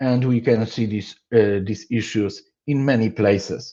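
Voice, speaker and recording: Against a quiet background, a man speaks fairly slowly in a medium-pitched, dark, mellow voice with fairly even intonation. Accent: Polish. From Poland. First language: Polish. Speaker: software engineer / conference speaker. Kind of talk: conference talk. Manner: halting, with many fillers.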